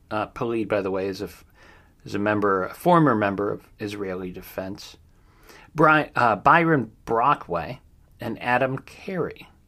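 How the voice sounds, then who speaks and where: In a very clean recording with a silent background, a man speaks at a fairly low pitch with a bright, sharp tone. He keeps a moderate pace and lively intonation. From Ohio. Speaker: true crime podcast host. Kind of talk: news roundup with commentary. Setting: home studio. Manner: hesitant, many fillers.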